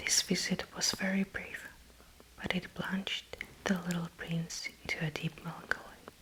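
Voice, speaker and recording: Whispered speech from a woman amid noticeable background noise. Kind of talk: ASMR book reading, bedtime story. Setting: close microphone, headphones, page flipping sounds. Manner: soft, slow narration.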